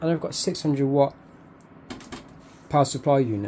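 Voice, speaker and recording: Over noticeable background noise, a man with a British accent talks in a fairly high pitch. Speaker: YouTuber. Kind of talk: setup tour video. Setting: home bedroom. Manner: fast. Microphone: cheap mic wrapped in foam.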